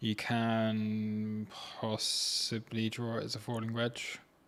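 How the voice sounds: The delivery is slow and monotone, with flat intonation and a fairly bright tone. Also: man, fairly low pitch for a man.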